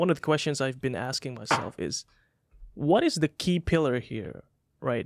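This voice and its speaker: Fairly slow speech with lively intonation and vocal fry, a dry, close sound with no echo, and a very clean recording with a silent background. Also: man. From Indonesia, rural area. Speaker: podcast host. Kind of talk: interview. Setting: studio.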